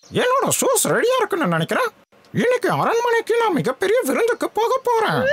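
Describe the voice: Doing a cartoonish character voice, a man talks at a moderate pace in an extremely high pitch.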